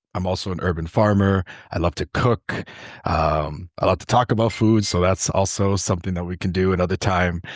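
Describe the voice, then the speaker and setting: A man speaks at a very deep, low pitch and a fairly quick pace, his intonation fairly even. The sound is dry and close with no echo, over a quiet background. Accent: Toronto. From Canada, Toronto. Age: 20s. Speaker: food justice worker and urban farmer. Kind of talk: podcast interview.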